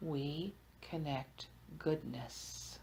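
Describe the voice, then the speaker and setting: The voice has a soothing tone. Vocal fry runs through it. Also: woman. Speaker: hypnotherapist. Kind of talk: group hypnosis trance session. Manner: slow, soothing.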